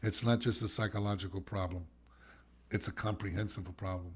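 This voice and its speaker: Somewhat breathy and fairly low in pitch, a man talks at a very fast pace. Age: 70s. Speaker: addiction recovery expert and podcast co-host. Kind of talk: casual podcast chat. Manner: animated.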